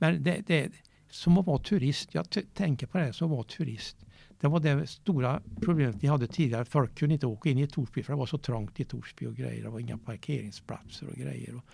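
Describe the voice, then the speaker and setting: A man speaks with vocal fry, a dark, mellow tone and a medium pitch. His intonation is lively and his pace fairly quick. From Värmland, Sweden (Eda, Åmotfors). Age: 70s. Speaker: golf club chairman, former police officer. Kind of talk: interview. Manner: halting.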